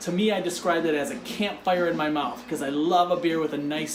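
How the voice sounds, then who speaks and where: A man with an Upper Midwest accent talks at a fairly quick pace in an enthusiastic tone, with noticeable background noise. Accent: Upper Midwest American. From Michigan, Detroit suburbs. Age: 40s. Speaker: craft beer reviewer. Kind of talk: travel vlog narration. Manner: casual, enthusiastic.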